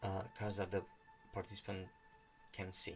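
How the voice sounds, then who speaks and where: With music in the background, a man with a non-native accent speaks at a fairly low pitch. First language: not English. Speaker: channel host reading and discussing a meditation book. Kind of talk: explanatory monologue. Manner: halting, many fillers and restarts.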